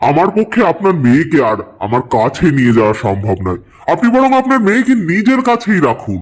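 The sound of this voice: A man's cartoonish character voice, high-pitched, with very wide pitch swings at a moderate pace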